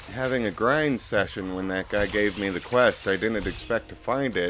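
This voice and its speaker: Quiet speech at a moderate pace with ordinary pitch variation over music in the background. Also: man. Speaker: gaming video creator. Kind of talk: let's play commentary.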